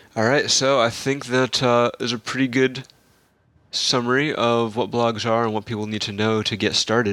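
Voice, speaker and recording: A man's bright, sharp tone stays in a monotone, flat intonation. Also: medium pitch for a man, moderate pace. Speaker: podcast host. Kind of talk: casual group chat podcast.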